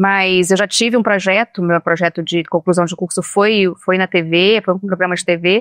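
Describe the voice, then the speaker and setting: A woman speaks at a moderate pace in a monotone, flat way. The recording is dry and close, with no echo. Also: medium pitch for a woman, hardly any pauses. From Brazil, Minas Gerais, raised partly in Espírito Santo. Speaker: journalist and communication consultant. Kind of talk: podcast interview.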